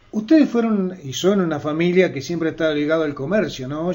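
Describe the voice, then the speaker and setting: Speaking in an unremarkable speaking voice, a man sits fairly high in pitch, and his pitch varies in an ordinary way. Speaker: journalist, radio interviewer. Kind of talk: radio interview questions.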